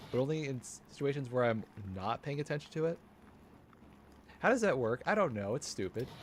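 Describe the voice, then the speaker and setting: Mumbling with lively intonation, a man talks at a fairly quick pace broken by long, frequent pauses. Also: medium pitch for a man. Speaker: streamer. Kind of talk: live gameplay commentary.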